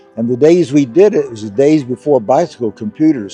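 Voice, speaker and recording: A man races through his words at a very fast pace with music playing in the background. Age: 80s+. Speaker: retired engineer and competitive cyclist. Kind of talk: interview answer.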